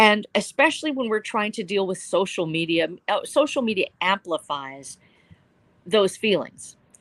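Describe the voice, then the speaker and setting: A woman speaks in an ordinary speaking voice at a medium pitch. Her moderate pace comes with lively intonation. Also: dry, close sound with no echo. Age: 60s. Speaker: novelist. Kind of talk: panel discussion. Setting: live stream. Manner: earnest.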